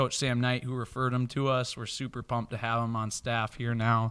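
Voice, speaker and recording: A man with a Minnesotan accent and a bright, sharp tone. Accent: Minnesota. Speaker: podcast host. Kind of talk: casual chat.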